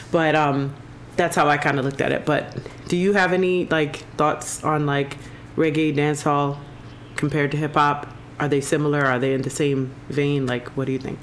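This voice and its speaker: Delivery stays monotone, with flat intonation. It moves at a moderate speed. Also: woman, very deep, low pitch for a woman. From Jamaica. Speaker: podcast host. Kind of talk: casual chat.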